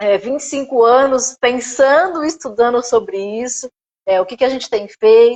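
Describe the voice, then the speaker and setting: Ordinary pitch variation marks a woman's high voice. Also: moderate pace, big swings in loudness. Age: 50s. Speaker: gerontology teacher and therapist. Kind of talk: live stream interview.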